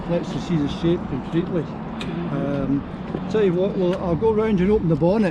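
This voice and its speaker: A man's high voice with ordinary pitch variation and very even loudness, over noticeable background noise. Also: moderate pace. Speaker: car club host. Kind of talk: casual talk to camera. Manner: upbeat.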